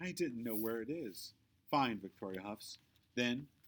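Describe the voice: Intonation rises and falls in a lively way. The delivery is plain reading aloud.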